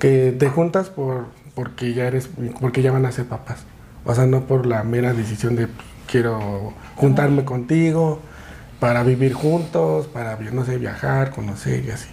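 A man with a Mexico City accent talks at a fairly slow pace. His pitch varies in an ordinary way. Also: medium pitch for a man. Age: 30s. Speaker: podcaster and father. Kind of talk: casual chat.

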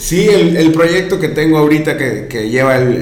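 Noticeable background noise and audible room echo surround a man's voice. He talks at a moderate pace. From Mérida, Yucatán, Mexico. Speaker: podcast co-host and audio producer. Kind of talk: casual chat.

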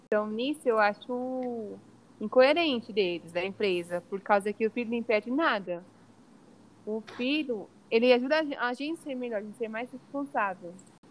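With a normal speaking voice, a woman at a fairly high pitch speaks at a moderate pace, showing ordinary pitch variation and big swings in loudness. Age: 20s. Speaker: environmental engineer and mother. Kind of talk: podcast interview.

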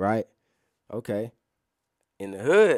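A man with an American accent and very wide pitch swings, in a very clean, dry, close recording with a silent background and no echo. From US South, west side of Atlanta, Georgia. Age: 30s. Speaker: former prisoner turned road worker and writer. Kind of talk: casual interview, life story. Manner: articulate.

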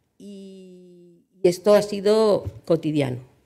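The woman's tone is dark and mellow. Her intonation is lively. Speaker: journalist and agency director. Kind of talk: panel talk.

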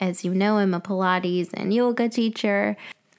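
A woman talks at a moderate pace and medium pitch in a normal speaking voice. The recording is very clean, with a silent background. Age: 30s. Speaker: podcast host, Pilates and yoga teacher. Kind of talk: solo reflective monologue.

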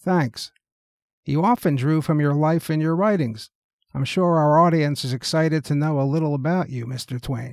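A man with a normal speaking voice, fairly high in pitch, with ordinary pitch variation at a moderate pace, on a very clean recording with a silent background. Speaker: talk show host. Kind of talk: mock interview with a historical figure, scripted.

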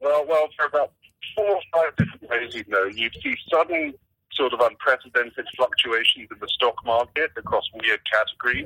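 Speaking at a moderate pace, a man talks in an English accent. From England. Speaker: AI policy director. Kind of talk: phone interview. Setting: phone call.

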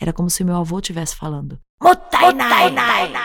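A woman's somewhat breathy, fairly low-pitched voice at a moderate pace. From Brazil, Japanese-Brazilian family. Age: 40s. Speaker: podcaster. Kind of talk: personal storytelling.

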